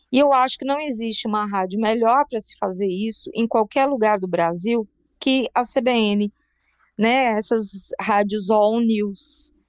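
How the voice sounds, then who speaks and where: A woman's plain, everyday voice, fairly high in pitch, with ordinary pitch variation and a fairly slow pace. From Brazil, raised in Brasília, Rio Grande do Sul and Paraíba. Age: 40s. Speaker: journalist and radio announcer. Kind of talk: casual interview chat.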